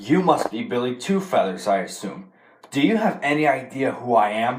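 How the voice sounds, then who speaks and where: This man uses a put-on character voice with very wide pitch swings. His pitch is medium and his pace moderate. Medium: short film. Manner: sneering, menacing.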